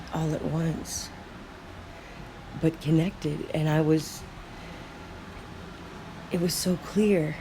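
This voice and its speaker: Long, frequent pauses break up very slow speech while noticeable background noise continues. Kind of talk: free-flowing thought monologue.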